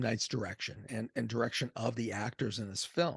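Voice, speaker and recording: A man with an American accent speaks at a moderate pace, somewhat breathy, in a dry, close sound with no echo. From US Northeast, Boston area. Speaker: movie reviewer. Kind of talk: casual video review. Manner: conversational.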